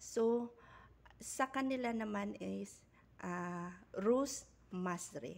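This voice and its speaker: This woman's intonation is lively, at a medium pitch. She speaks at a very slow pace. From Philippines. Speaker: vlogger / overseas worker; vlogger. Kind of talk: tutorial. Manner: halting, with frequent fillers. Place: kitchen. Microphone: phone near.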